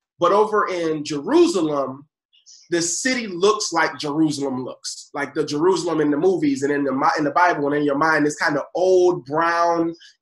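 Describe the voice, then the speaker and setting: An ordinary speaking voice from a man with an American accent, fairly high in pitch, with ordinary pitch variation at a moderate pace. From Buffalo, New York. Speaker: education advocate. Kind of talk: interview.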